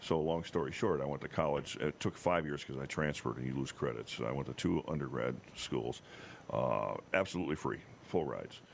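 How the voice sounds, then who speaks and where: Vocal fry at a fairly quick pace, with ordinary pitch variation. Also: man, very deep, low pitch for a man. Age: 60s. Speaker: TV meteorologist. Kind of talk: casual chat. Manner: animated storytelling.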